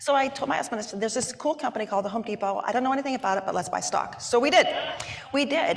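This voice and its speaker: Amid noticeable background noise, a woman talks very fast with lively intonation. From Wyoming. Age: 60s. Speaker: business executive. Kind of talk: onstage interview. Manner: animated.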